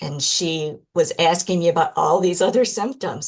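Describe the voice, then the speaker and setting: A woman's fairly low, somewhat breathy voice with a Michigan accent, at a fairly slow pace with ordinary pitch variation. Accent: American (Michigan). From Michigan, US. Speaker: podcast guest, person with MS. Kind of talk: interview testimony.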